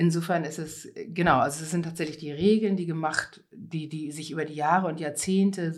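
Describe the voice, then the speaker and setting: Her voice is very deep and low for a woman. She keeps a moderate pace with fairly even intonation. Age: 50s. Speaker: conference interpreter and cycling activist. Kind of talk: interview.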